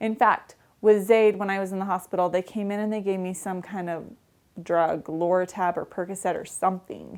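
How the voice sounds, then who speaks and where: A woman at a fairly quick pace and medium pitch, on a very clean recording with a silent background. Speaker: vlogger. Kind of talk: casual vlog. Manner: fast; animated.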